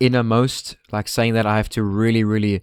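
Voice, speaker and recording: In a very clean recording with a silent background and a dry, close sound with no echo, a man with a fairly low pitch speaks at a moderate pace in a monotone, flat intonation. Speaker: gaming youtuber. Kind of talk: gameplay walkthrough commentary. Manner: halting; casual.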